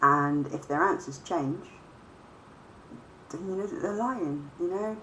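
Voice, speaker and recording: Bright and sharp in tone, a woman's fairly low voice moves at a fairly slow pace with lively intonation amid audible room echo. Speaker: vlogger. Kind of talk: casual monologue. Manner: hesitant, many fillers.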